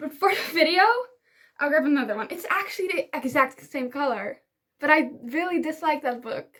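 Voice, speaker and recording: An animated woman speaks with a Dutch accent in a high, bright, sharp tone. Her intonation is lively and her pace moderate. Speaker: book YouTuber. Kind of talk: casual vlog talk to camera.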